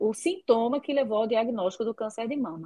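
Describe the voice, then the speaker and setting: With a plain, everyday voice, a woman speaks at a fairly high pitch with lively intonation. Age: 40s. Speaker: doctor specializing in breast health. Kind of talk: interview, casual chat. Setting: remote online call.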